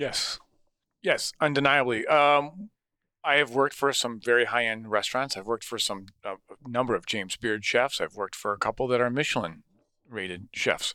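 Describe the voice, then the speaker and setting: A man with an American accent and a bright, sharp tone speaks at a medium pitch and moderate pace with ordinary pitch variation, the sound dry and close with no echo and the recording very clean over a silent background. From Wisconsin (Sussex, near Milwaukee). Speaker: chef and restaurant owner. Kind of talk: casual chat.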